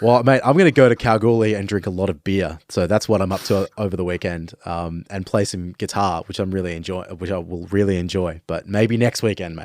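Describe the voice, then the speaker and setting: A man with an Australian accent speaks at a very deep, low pitch with ordinary variation. His fairly quick delivery has hardly any pauses, and the sound is dry and close with no echo. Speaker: podcast host. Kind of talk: casual chat. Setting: studio.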